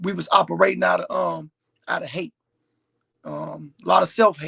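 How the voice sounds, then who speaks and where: At a moderate pace, a man talks with big swings in loudness. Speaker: formerly incarcerated man. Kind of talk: interview testimony. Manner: halting.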